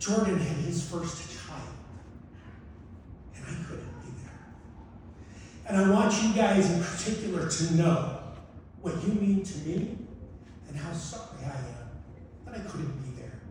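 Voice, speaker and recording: A man speaks at a fairly slow pace in a high voice, with long, frequent pauses and big swings in loudness. Noticeable background noise and audible room echo come through. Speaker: sports broadcaster. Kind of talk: acceptance speech.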